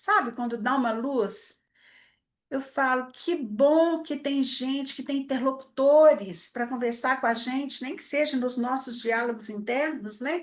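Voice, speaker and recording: A woman's high-pitched voice at a fairly slow pace over a quiet background. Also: ordinary pitch variation. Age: 60s. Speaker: psychologist, family therapist. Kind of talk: lecture. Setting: event with live audience. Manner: informal, conversational.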